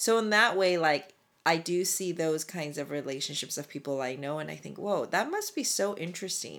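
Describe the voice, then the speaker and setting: A woman with an ordinary speaking voice talks at a fairly low pitch with ordinary pitch variation, in a very clean recording with a silent background. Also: moderate pace. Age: 40s. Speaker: podcast co-host, educator. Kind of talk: casual chat.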